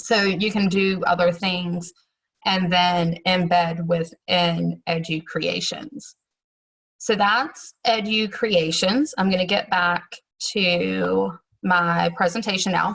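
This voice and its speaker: Very slow speech from a woman at a fairly low pitch, with ordinary pitch variation and very even loudness. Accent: Southern US. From US South. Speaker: teacher. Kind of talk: tutorial.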